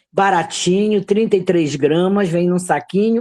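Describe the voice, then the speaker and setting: A woman speaks at a moderate pace over a quiet background. Her tone is dark and mellow, her pitch fairly low. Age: 70s. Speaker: herbal health teacher. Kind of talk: online class.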